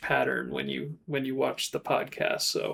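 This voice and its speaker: Speaking at a fairly slow pace, a man is heard. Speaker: YouTube creator and podcast host. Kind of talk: casual chat. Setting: public live stream. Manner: hesitant, many fillers like uh and um.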